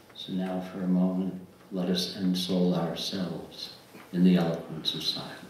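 Low-pitched and showing little pitch movement, a man speaks at a moderate pace in a room with strong echo.

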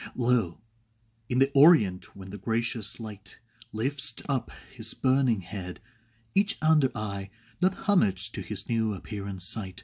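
The voice is somewhat breathy, with lively intonation and a very slow pace. Long, frequent pauses fall throughout, over a quiet background. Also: man. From Spain. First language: Spanish. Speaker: poetry reader. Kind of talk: poetry reading. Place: home room. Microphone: webcam.

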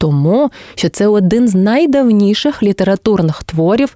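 In a Crimean accent, a woman with a medium-pitched, dark, mellow tone speaks fairly slowly with lively intonation, the sound dry and close with no echo. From Crimea, southern coast. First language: Crimean Tatar (speaking Ukrainian). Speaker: language teacher and translator. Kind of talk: scripted educational narration.

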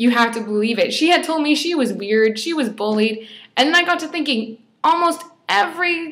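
Intonation rises and falls in a lively way while the delivery runs fairly quick. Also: woman. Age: 20s. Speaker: fashion blogger; blogger sharing a personal story. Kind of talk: personal testimony vlog. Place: home room. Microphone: webcam.

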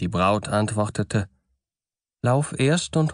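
A man speaks at a very slow pace with very wide pitch swings. The sound is dry and close with no echo, over a quiet background. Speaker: audiobook narrator. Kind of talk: bedtime story reading of fairy tales, scripted narration.

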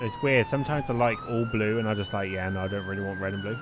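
Over noticeable background noise, a man with a fairly low pitch talks at a very fast pace. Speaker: gaming YouTuber. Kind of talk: gameplay commentary. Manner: casual, filler words.

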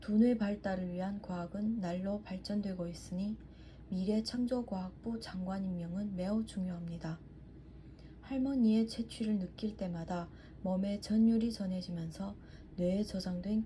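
Noticeable background noise accompanies speech that proceeds fairly slowly. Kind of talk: pronunciation practice sentence reading. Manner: phrase-by-phrase, not drawn out.

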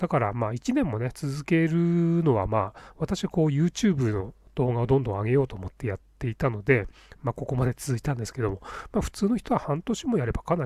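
At a fairly quick pace, a man with a medium-pitched, somewhat breathy voice speaks with lively intonation. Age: 50s. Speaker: YouTuber. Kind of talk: tutorial. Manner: casual, filler-heavy.

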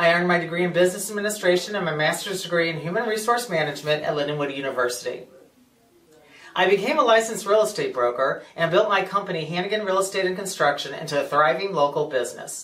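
A man with a Midwestern American accent talks at a very fast pace in a high pitch, his intonation lively. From US Midwest, St. Charles, Missouri; Missouri. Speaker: political candidate; candidate. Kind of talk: campaign speech. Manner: formal. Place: office.

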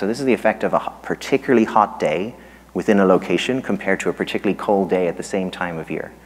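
A man speaks with an Irish accent. His pace is very fast. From Ireland. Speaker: economics professor. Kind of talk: lecture. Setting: stage with audience. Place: hall.

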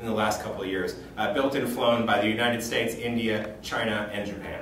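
A man talks at a very fast pace amid light background noise and audible room echo. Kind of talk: informal news recap. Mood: upbeat festive. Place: office. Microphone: camera far.

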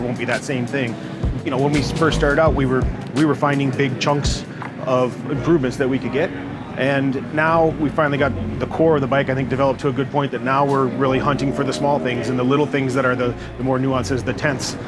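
A man talks very fast over clear music in the background. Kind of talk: interview answer. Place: tent. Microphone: lapel.

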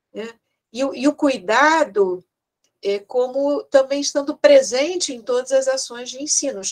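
Over a quiet background, a woman speaks at a fairly slow pace and a high pitch, with lively intonation and big swings in loudness. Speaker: education researcher. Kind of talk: academic lecture. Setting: video call. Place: home room. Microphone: earbuds.

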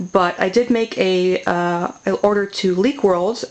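The woman's pitch stays fairly flat as she talks. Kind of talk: casual vlog chat. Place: home room.

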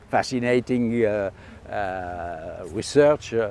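A man with a French accent speaks with lively intonation and a dark, mellow tone. The sound is dry, with no echo. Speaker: astrophysicist. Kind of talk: interview answer. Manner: hesitant, many filler sounds. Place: garden.

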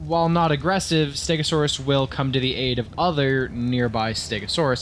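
Lively intonation at a moderate pace. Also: man. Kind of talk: dramatic reading of a video game creature entry. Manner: dramatic.

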